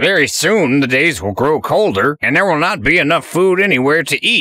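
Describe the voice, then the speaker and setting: A put-on character voice moves at a moderate pace on a very clean recording with a silent background. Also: man, fairly high pitch for a man. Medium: read story. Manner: earnest, gracious.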